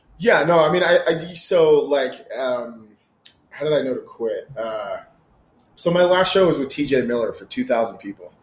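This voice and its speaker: The speech moves at a fairly slow pace, with lively intonation and big swings in loudness. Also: man, fairly high pitch for a man. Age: 30s. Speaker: entrepreneur and former comedian. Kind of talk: casual chat.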